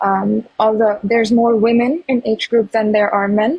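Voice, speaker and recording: A somewhat breathy woman's voice, fairly high in pitch, with fairly even intonation and a moderate pace. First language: not English. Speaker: pro-Palestinian activist. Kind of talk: heated debate.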